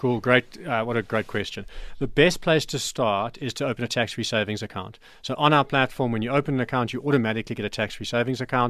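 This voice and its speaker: Speaking at a very fast pace, a man uses a medium-pitched voice with ordinary pitch variation. The recording is very clean, with a silent background. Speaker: company CEO, investing guest. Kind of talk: radio interview. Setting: radio studio.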